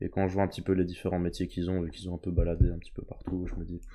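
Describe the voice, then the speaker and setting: A man speaks at a very deep, low pitch. His tone is dark and mellow. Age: young. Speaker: medical student. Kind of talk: casual chat.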